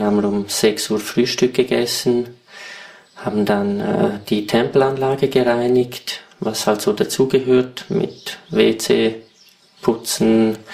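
Very wide pitch swings mark this man's medium-pitched voice at a very slow pace. Noticeable background noise runs underneath. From Switzerland. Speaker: retreat participant. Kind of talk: interview.

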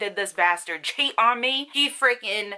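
Her intonation rises and falls in a lively way. This woman keeps to a moderate pace. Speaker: beauty vlogger. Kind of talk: casual vlog chat. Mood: angry, indignant storytelling. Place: home room. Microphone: phone near.

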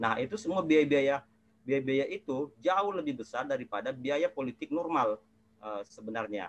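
This man's voice sits fairly high, with lively intonation. He talks at a moderate pace. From South Sulawesi, Indonesia. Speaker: legislative watchdog activist; webinar panelist. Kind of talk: webinar presentation. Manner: halting, many fillers. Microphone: earbuds.

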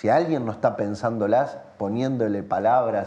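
This man's voice has a dark, mellow tone. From Uruguay. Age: 30s. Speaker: playwright and theatre director; interview guest. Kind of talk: interview. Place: studio.

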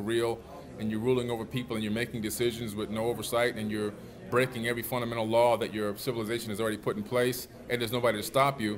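A man with an American accent speaks in a monotone, flat intonation. Light background noise runs underneath. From Miami, Florida, US. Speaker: author and alternative history researcher; interview guest. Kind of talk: interview. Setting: at a conference.

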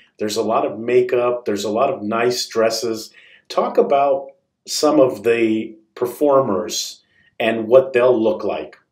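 Spoken at a fairly slow pace with ordinary pitch variation, the voice carries audible room echo against a quiet background. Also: man. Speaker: radio host. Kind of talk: interview. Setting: studio. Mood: friendly, smiling. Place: studio.

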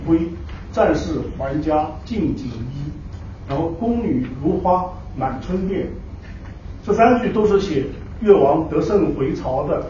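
There is audible room echo and light background noise as a man speaks fairly slowly in a high pitch with lively intonation. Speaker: professor. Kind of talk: lecture. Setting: stage with audience. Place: hall.

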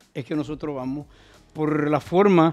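With a dark, mellow tone and a fairly high pitch, a man talks at a fairly slow pace over a quiet background. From Dominican Republic. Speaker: doctor and political candidate; candidate. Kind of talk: interview. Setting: studio. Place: studio.

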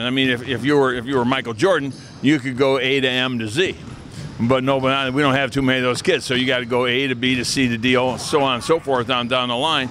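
A man talks at a very fast pace with fairly even intonation. The sound is dry with no echo, over light background noise. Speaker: basketball camp coach. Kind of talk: interview answer. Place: hall. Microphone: handheld.

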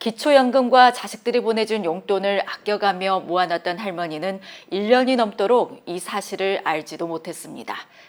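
Her an ordinary speaking voice aside, this woman talks at a moderate pace and medium pitch with ordinary pitch variation and hardly any pauses. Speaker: news anchor. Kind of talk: TV news intro.

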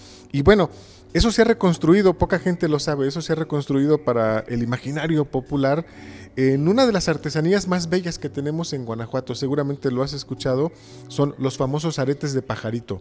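Light background noise sits under a man talking at a fairly quick pace with ordinary pitch variation. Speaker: interview guest. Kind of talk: interview answer. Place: church. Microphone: handheld.

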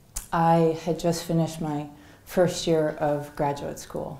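A woman with a dark, mellow tone speaks at a fairly low pitch in a monotone, flat intonation, with audible room echo around her. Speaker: keynote speaker. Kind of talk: storytelling keynote talk. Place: hall. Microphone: headset.

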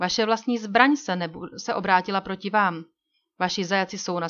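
Plain reading aloud with ordinary pitch variation comes through against a quiet background.

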